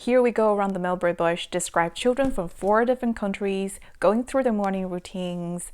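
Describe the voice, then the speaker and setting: A woman's warm, enthusiastic voice at medium pitch, with ordinary pitch variation and a Chinese accent. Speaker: parenting vlogger. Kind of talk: casual book review.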